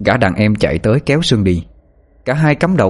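The text is given as plain reading aloud, marked by lively intonation.

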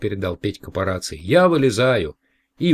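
With a quiet background, the text is read aloud in a natural voice.

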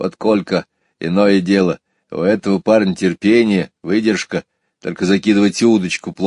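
An unforced reading voice with fairly even intonation and a quiet background.

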